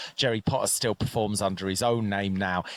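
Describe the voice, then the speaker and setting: The speaker is a man. His voice sounds dry and close, without echo. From rural Wales. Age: 40s. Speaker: poet. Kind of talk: casual interview. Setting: outdoors in a park at a festival.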